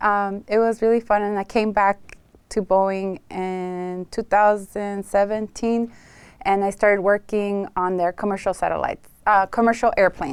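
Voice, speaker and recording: A woman with a Spanish accent speaks at a moderate pace. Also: medium pitch for a woman, fairly even intonation. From Los Angeles, US, partly raised in Tijuana, Mexico. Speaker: realtor and former aerospace engineer. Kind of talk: interview.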